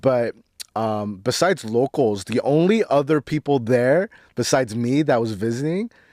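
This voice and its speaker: A man talks in a plain, everyday voice at a moderate pace and medium pitch. His intonation is lively, and the sound is dry and close with no echo. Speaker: podcast host. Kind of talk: casual podcast conversation.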